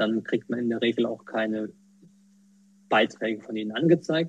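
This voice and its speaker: Speaking at a moderate pace, a man keeps his medium-pitched voice to fairly even intonation. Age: 20s. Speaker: quality manager and accessibility volunteer. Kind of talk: interview. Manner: hesitant, many fillers.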